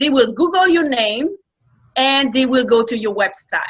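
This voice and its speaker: With a strong French accent, a woman speaks in a high pitch at a fairly slow pace. Her tone is bright and sharp, and her intonation is lively. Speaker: entrepreneur and media coach. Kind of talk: interview.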